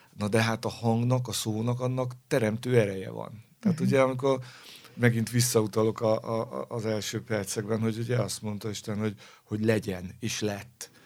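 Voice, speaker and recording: At a moderate pace, a man speaks with fairly even intonation and a medium pitch. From Hungary, Pest county village. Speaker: orchestral cellist. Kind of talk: interview. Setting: studio. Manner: hesitant, repeats words.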